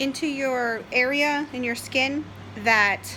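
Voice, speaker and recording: The speaker has an American accent and a raised, projected voice. Pitch varies an ordinary amount. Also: woman. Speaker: diabetic vlogger. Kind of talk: casual talk to camera.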